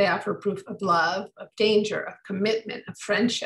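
Somewhat breathy, a voice with an American accent comes through over a quiet background. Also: woman. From US Midwest. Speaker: author and historian. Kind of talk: book talk with slideshow. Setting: video call. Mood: warm, storytelling. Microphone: video call.

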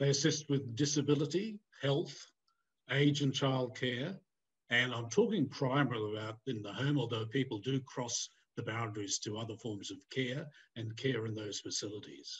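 Somewhat breathy, a man speaks at a moderate pace with ordinary pitch variation. The background is quiet. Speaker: conference keynote presenter. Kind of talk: lecture. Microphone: webcam.

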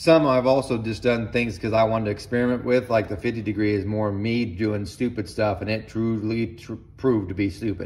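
A man with a plain, everyday voice at a moderate pace. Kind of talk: casual tutorial chat. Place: workshop. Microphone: phone near.

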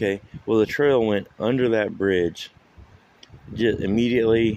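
With a dry sound and no echo, a man speaks in a fairly low voice with fairly even intonation. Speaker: local vlogger. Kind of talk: casual vlog chat. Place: waterside. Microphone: phone near.

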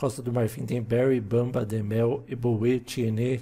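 A man speaks with a Brazilian accent at a very slow pace. His voice is somewhat breathy, with a dark, mellow tone. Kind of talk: casual gameplay chat. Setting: home recording of video game.

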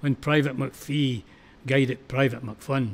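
Speaking fairly slowly, the man has a Scottish accent. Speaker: poetry reciter. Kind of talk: poetry reading.

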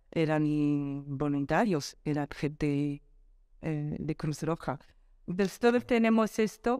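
A woman speaks very slowly in a very deep, low voice with a dark, mellow tone and lively intonation. The sound is dry with no echo, and the background is quiet. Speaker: telecom executive; interviewee. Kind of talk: interview. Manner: calm, unhurried. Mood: warm, earnest, reflective. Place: home room. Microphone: lapel.

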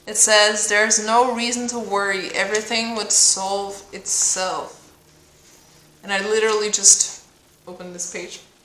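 Amid light background noise and audible room echo, a woman speaks at a fairly slow pace and fairly high pitch with a monotone, flat intonation and big swings in loudness. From Denmark. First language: Danish. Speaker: spiritual coach and card reader. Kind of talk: oracle card reading. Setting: home video recording.

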